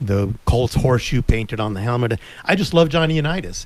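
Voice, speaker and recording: A man's medium-pitched voice with an American accent and lively intonation, an ordinary speaking voice. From US Southwest, Tucson, Arizona. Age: 60s. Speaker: sports radio co-host. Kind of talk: casual chat.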